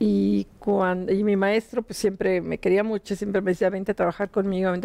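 A woman is speaking. Her tone is dark and mellow. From Mexico City. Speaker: financial journalist. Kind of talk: interview. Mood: relaxed, reminiscing. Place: studio. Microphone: lapel.

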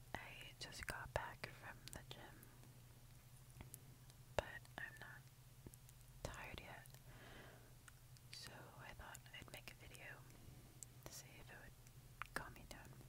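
A woman speaks at a very slow pace with long, frequent pauses. Loud background noise is present. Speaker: ASMR creator. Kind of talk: ASMR video, casual talk to camera. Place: home room. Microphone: earbuds.

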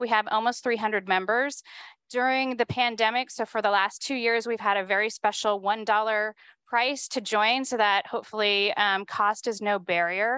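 A woman at a moderate pace with fairly even intonation, dry sound with no echo and a quiet background. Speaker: event host. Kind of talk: event welcome speech. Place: hall. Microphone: handheld.

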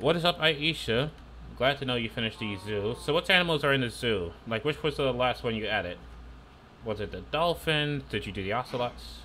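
With vocal fry and a bright, sharp tone, the voice moves at a fairly quick pace with lively intonation over light background noise. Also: man. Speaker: gaming streamer. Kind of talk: live gameplay commentary. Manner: animated. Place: home room. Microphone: headset.

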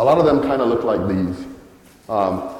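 A man talks at a fairly quick pace. Audible room echo surrounds his voice. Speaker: conference presenter. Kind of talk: talk presentation. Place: hall. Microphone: handheld.

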